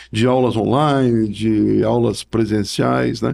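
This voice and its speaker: A man's voice has a dark, mellow tone. The background is silent and the recording very clean. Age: 60s. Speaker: professor and book author. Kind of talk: podcast interview. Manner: halting, with many repetitions and fillers.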